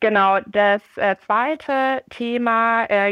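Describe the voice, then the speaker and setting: A woman talks with fairly even intonation. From Munich, Bavaria. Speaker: entrepreneur and graduate student. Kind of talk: interview.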